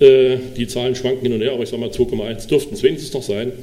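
A man rattles along at a very fast pace, his pitch varying in an ordinary way, with noticeable background noise around him. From Sachsen-Anhalt, Dessau. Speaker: state politician. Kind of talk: panel talk.

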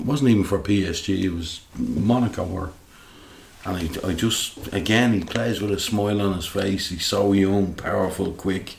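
The speaker talks fairly slowly in a Dublin accent, with ordinary pitch variation. The room echo is audible. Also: man. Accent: Dublin Irish. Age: 50s. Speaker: football fan, guest co-host. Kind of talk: casual chat.

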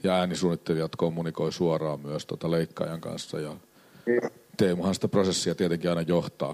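Very deep and low, a man's voice moves at a moderate pace in a flat monotone. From Finland, Helsinki. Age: 50s. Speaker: film producer. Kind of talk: panel discussion at a live event. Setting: stage with audience.

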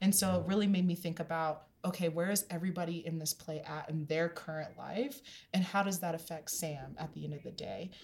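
A woman with a fairly low pitch talks at a fairly quick pace, with hardly any pauses. Her voice is somewhat breathy and her intonation fairly even. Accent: American. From Denver, US. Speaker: podcast host. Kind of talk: casual interview chat.

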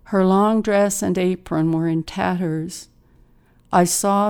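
A woman with a Newfoundland accent uses a dramatic tone yet monotone, flat intonation at a fairly slow pace, on a very clean recording with a silent background. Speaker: poet reading her own work. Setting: studio. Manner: measured, expressive, dramatic pauses for vivid imagery.

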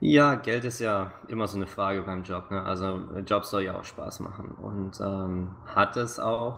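Speaking at a fairly slow pace with hardly any pauses, a man uses a fairly low pitch and fairly even intonation, with noticeable background noise. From Swabia, southern Germany (near Stuttgart). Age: 20s. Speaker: game producer. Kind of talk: interview.

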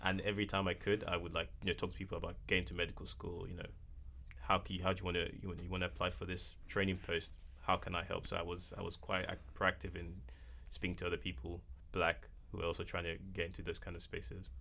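A man with a very deep, low voice talks at a very fast pace, his tone bright and sharp, with vocal fry and ordinary pitch variation. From Nigeria. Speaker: MBA student and former doctor. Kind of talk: casual panel discussion.

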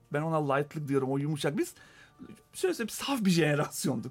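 A man talks with ordinary pitch variation. Behind him, music is playing. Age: 40s. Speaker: data company co-founder. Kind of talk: radio interview.

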